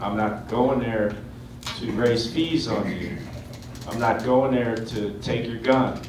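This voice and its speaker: Amid audible room echo and noticeable background noise, a man speaks at a very slow pace and medium pitch, with fairly even intonation and long, frequent pauses. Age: 60s. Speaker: political candidate. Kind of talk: candidate forum statement.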